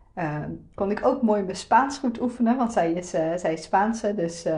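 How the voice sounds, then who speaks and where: Somewhat breathy and dark, mellow in tone, a woman's medium-pitched voice moves at a moderate pace with ordinary pitch variation. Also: big swings in loudness. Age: 30s. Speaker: podcast host, web designer. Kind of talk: solo podcast monologue. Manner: casual, many fillers.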